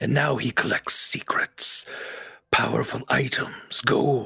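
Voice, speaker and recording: Using a put-on character voice, a man speaks in a raspy, fairly high pitch at a fairly slow pace. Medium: actual play. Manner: terse, commanding.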